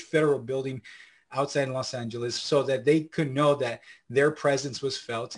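A man's fairly high, somewhat breathy voice with an American accent, fairly even intonation and a moderate pace, over a quiet background. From southern California (Santa Ana, Orange County). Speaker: community organizer. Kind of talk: interview. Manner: halting, many fillers.

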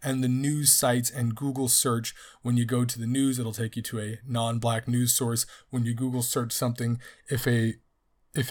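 Monotone and flat, a man speaks at a medium pitch and moderate pace. His voice is somewhat breathy. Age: 30s. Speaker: podcast host and teacher. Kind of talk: solo book review podcast.

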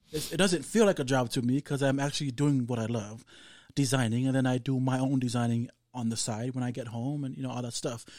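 A very fast man with a Samoan accent, medium pitch and ordinary pitch variation, on a very clean recording with a silent background. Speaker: fashion designer. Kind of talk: casual interview.

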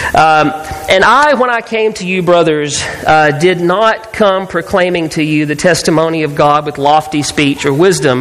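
Over noticeable background noise, a man speaks at a fairly slow pace with a fairly high pitch. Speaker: preacher. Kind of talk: sermon. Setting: church.

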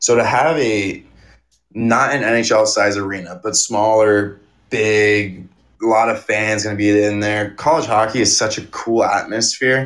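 A man with an American accent and a plain, everyday voice speaks fairly slowly at a fairly low pitch with fairly even intonation. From Arizona. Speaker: college hockey player. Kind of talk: interview.

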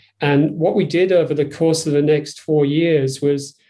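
In a Yorkshire accent, a man talks at a moderate pace with a dark, mellow tone and monotone, flat intonation. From northern England, Yorkshire. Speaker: design executive. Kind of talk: interview.

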